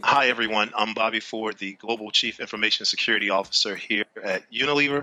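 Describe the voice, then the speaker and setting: With a Texan accent, a man at a medium pitch talks at a very fast pace with hardly any pauses and fairly even intonation. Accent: American (Texas). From Texas, Dallas. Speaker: chief information security officer. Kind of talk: speaker introduction.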